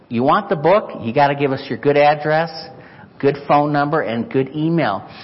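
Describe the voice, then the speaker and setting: A man's fairly high voice at a moderate pace, ordinary pitch variation, noticeable background noise. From Chicago, US Midwest. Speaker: missionary. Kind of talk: sermon. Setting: church.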